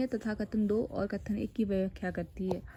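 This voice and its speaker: Somewhat breathy, a woman speaks in a flat monotone with a dark, mellow tone. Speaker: educational YouTuber. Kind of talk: tutorial.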